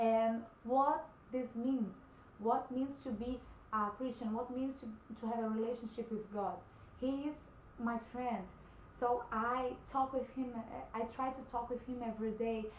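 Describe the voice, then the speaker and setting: Over noticeable background noise, a woman speaks at a high pitch with monotone, flat intonation and long, frequent pauses. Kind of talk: personal testimony vlog. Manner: halting, many fillers.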